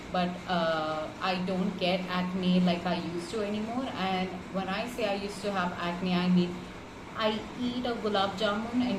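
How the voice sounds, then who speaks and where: A medium-pitched woman's voice over noticeable background noise. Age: 30s. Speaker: marketing professional. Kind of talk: client testimonial. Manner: casual, with many fillers.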